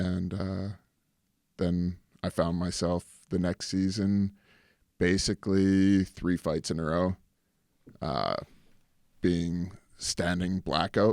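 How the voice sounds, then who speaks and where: With a Canadian accent, a man speaks very slowly at a very deep, low pitch. The sound is dry and close with no echo, and the recording is very clean with a silent background. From Canada. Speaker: actor and former pro hockey player. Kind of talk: casual interview chat.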